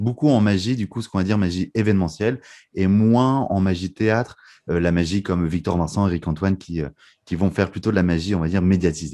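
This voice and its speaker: A man's very deep, low voice with a dark, mellow tone, ordinary pitch variation and a fairly quick pace over a quiet background. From northern France (Lille). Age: 20s. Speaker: magician and mentalist. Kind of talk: podcast interview.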